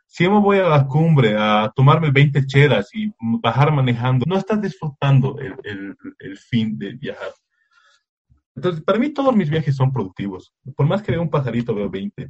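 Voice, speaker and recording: A man talks at a moderate pace with a fairly high, somewhat breathy voice. His pitch swings very widely and his loudness varies greatly. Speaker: nature photographer. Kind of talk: casual interview. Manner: halting, frequent repetitions.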